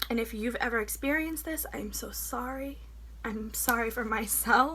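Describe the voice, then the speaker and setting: A woman talks at a moderate pace, and audible room echo surrounds her voice. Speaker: vlogger sharing personal story. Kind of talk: personal testimony.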